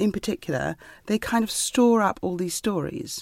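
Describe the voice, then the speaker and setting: A woman speaks at a moderate pace with an ordinary speaking voice and ordinary pitch variation. The sound is dry and close, with no echo. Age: 50s. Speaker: writer. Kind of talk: interview.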